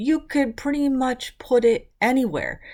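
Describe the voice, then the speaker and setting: In a very clean recording with a silent background, a woman with a high pitch speaks at a moderate pace in an animated tone. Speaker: mixed media art tutorial youtuber. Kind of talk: craft tutorial.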